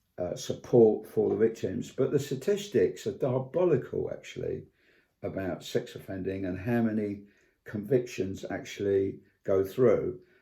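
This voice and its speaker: A man with a British accent at a moderate pace. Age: 70s. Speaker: vlogger. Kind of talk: personal video commentary. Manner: halting, many fillers and repetitions.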